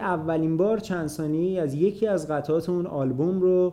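A man's dark, mellow tone at a moderate pace. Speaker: podcast host. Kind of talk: scripted narration.

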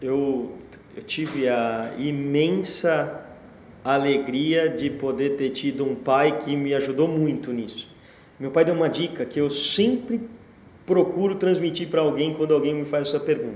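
Audible room echo surrounds a man with a fairly high pitch who speaks at a fairly slow pace with ordinary pitch variation. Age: 40s. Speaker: entrepreneur. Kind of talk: interview.

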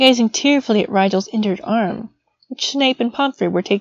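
In a quiet setting, a text is being read aloud in a natural voice.

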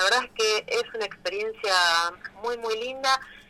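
A woman at a moderate pace and medium pitch. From Argentina, Rosario. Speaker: illustrator and author. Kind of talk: interview.

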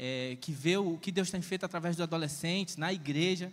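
This man speaks with a northeastern Brazilian accent. He uses ordinary pitch variation at a moderate pace. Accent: northeastern Brazilian (Ceará). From Ceará, Brazil (rural interior). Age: 30s. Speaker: preacher. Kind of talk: sermon. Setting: church. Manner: animated.

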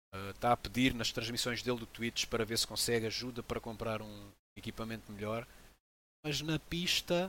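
A man speaks in a European Portuguese accent at a medium pitch. His tone is bright and sharp, with ordinary pitch variation. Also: moderate pace. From Angola, moved to Portugal at 7. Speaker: sim racing team founder, ex motoring journalist. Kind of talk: interview.

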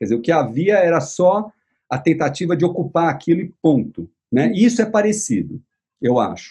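A man speaks at a moderate pace with a high pitch and a dark, mellow tone. His pitch swings very widely. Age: 60s. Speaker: visual artist and writer. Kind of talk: casual chat. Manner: halting.

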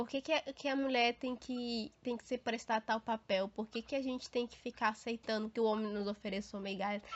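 An unremarkable speaking voice from a woman, fairly high in pitch, at a moderate pace. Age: 20s. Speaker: podcast co-host. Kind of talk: casual chat.

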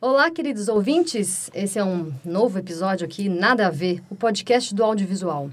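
A woman speaks in an ordinary speaking voice at a medium pitch. She keeps a moderate pace with lively intonation and hardly any pauses. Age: 30s. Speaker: podcast host and music student. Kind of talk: casual chat.

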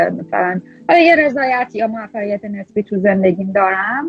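Noticeable background noise runs behind a woman at a medium pitch. She speaks at a moderate pace with ordinary pitch variation. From Iran. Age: 30s. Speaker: machine learning scientist. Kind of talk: casual interview.

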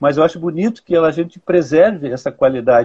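Moderate pacing from a man with a fairly high-pitched voice. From Rio Grande do Sul, Brazil (city of Rio Grande). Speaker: poet and critic. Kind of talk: interview conversation. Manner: hesitant, with frequent fillers.

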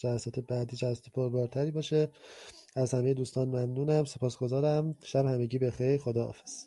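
Dark and mellow, a man's voice sits at a medium pitch. His intonation is monotone and flat. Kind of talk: panel discussion on a voice chat. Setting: online voice chat room. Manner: formal, measured.

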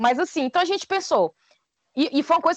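A woman with a Cearense accent, in a dry, close sound with no echo. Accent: Cearense Brazilian Portuguese. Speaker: podcaster. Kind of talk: casual chat.

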